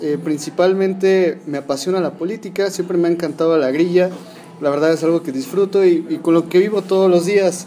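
Moderate pace, with noticeable background noise. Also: man. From Mexico, Hidalgo. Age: 20s. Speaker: youth politician, political scientist. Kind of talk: casual interview.

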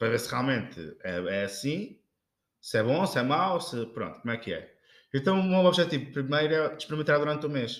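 A plain, everyday voice from a man with a fairly high pitch, lively intonation and a fairly quick pace, in a very clean recording with a silent background. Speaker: podcast co-host. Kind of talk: casual chat. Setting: kitchen.

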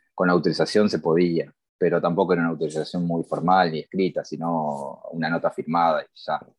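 A man speaks in a very deep, low pitch at a fairly quick pace. His intonation is monotone and flat, and the sound is dry and close with no echo. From Argentina, Buenos Aires. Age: 40s. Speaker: tattoo artist. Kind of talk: interview.

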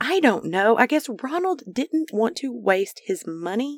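In a very clean, dry, close recording with no echo and a silent background, a woman speaks fairly slowly with very wide pitch swings. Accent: Arkansas. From Arkansas. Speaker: true crime podcast host. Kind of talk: true crime narration.

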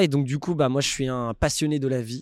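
With fairly even intonation and a fairly high pitch, a man speaks in a very clean, dry, close recording with no echo and a silent background. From Paris region, France. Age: 30s. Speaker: entrepreneur. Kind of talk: casual interview.

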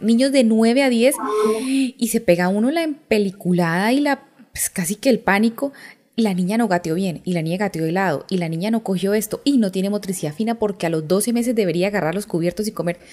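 Using a plain, everyday voice, a woman speaks at a fairly quick pace with lively intonation. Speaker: podcast host, mother. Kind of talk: interview.

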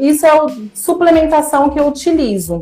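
Her voice is high-pitched and animated. The woman keeps a moderate pace. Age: 30s. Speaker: educational psychologist sharing weight-loss story. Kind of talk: casual chat. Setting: live stream.

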